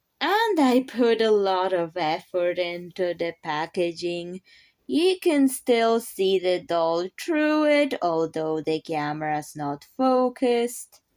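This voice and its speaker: A woman speaks at a very slow pace with very wide pitch swings. The recording is very clean, with a silent background. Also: medium pitch for a woman. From Poland. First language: Polish. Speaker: craft youtuber. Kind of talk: casual video vlog.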